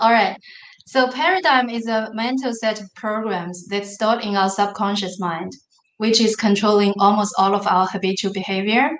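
A woman with a Chinese accent and a fairly high pitch. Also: ordinary pitch variation, moderate pace. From northern China. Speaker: business consultant and manufacturer. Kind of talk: interview.

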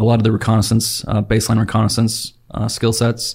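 A somewhat breathy man with an American accent speaks very fast at a medium pitch with monotone, flat intonation in a very clean recording with a silent background. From Utah, Salt Lake Valley. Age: 30s. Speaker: active duty special operations weatherman. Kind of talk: casual interview.

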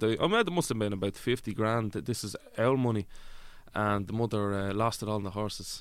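A man with an Irish accent speaks at a fairly quick pace. His pitch is medium, with ordinary pitch variation. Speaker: actor. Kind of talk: comedic interview chat.

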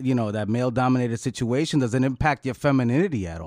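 Against a quiet background, a man talks at a very fast pace at medium pitch with ordinary pitch variation. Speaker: podcast host. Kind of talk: casual podcast interview. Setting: podcast.

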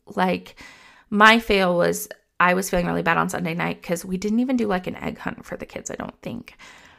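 A woman at medium pitch talks at a fairly quick pace with fairly even intonation. Her tone is bright and sharp with vocal fry, on a very clean recording with a silent background. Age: 30s. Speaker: parenting podcast host and therapist. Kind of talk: solo podcast monologue. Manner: casual, conversational.

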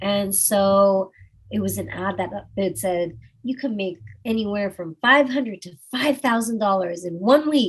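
Somewhat breathy, a woman with an American accent speaks fairly slowly at a medium pitch, with ordinary pitch variation and big swings in loudness. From Austin, Texas. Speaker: adult content creator. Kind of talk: casual interview.

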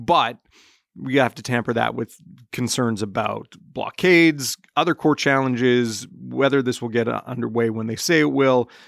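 An unremarkable speaking voice moves at a moderate pace on a very clean recording with a silent background and a dry, close sound with no echo. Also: man. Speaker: newspaper editor. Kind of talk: casual panel discussion.

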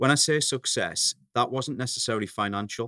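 A man with a northeast English accent, dry and close with no echo. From northeast England. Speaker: coffee company founder. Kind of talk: interview.

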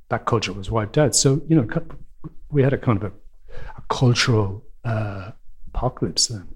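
Speaking at a moderate pace, a man with an Irish accent has a somewhat breathy voice at a medium pitch, with ordinary pitch variation. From Ireland. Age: 60s. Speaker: playwright. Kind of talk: interview conversation. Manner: halting, with frequent repeats and fillers.

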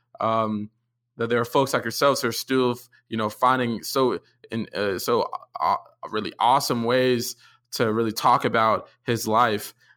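Here a man has a medium pitch and a bright, sharp tone. His intonation is flat and monotone, at a moderate pace with long, frequent pauses. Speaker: podcast host. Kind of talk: interview. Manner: laughs often.

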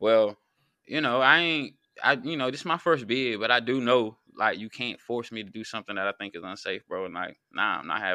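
With an American accent, a man speaks at medium pitch and a fairly quick pace, his tone bright and sharp. His intonation is lively, his loudness swings widely, and the background is quiet. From North Carolina. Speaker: YouTube channel host, former inmate. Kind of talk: casual conversation.

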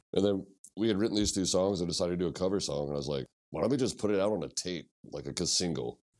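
A man with a Midwestern American accent speaks at a very fast pace with a very deep, low pitch. His voice carries vocal fry and lively intonation. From Missouri, US Midwest. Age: 40s. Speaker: punk musician. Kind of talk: casual chat.

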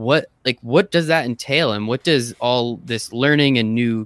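A man's plain, everyday voice, medium-pitched, with lively intonation and a moderate pace. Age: 20s. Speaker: sports podcast host. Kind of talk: casual interview chat.

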